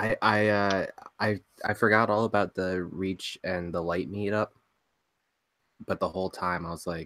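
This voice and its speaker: A soft-spoken man with a fairly low pitch and bright, sharp tone, monotone, flat intonation, a moderate pace and long, frequent pauses, in a dry, close sound with no echo and a very clean recording with a silent background. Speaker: podcast co-host. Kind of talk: casual chat.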